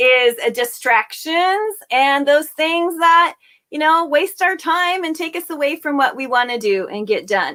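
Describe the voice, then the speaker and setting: Raised and projected, a woman's high, bright, sharp voice swings very widely in pitch as she speaks at a fairly slow pace. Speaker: internet business coach. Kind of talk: online teaching talk.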